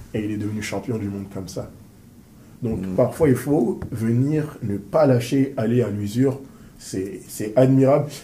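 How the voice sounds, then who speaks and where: Amid audible room echo, a man with a dark, mellow, somewhat breathy tone speaks at a medium pitch and fairly slow pace with ordinary pitch variation. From Paris suburbs, France. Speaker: interviewer and business coach. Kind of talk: interview. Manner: animated.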